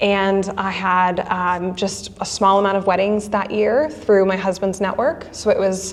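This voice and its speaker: A woman with an American accent speaks amid audible room echo. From US Midwest, Wisconsin. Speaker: wedding photographer. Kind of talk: podcast interview.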